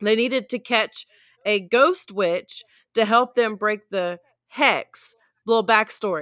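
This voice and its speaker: A woman's bright, sharp tone at a very slow pace, with a dry, close sound and no echo. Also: ordinary pitch variation. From US South (South Mississippi), moved to central Oklahoma as a teen. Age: 30s. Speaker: podcast co-host, title abstractor. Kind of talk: casual chat.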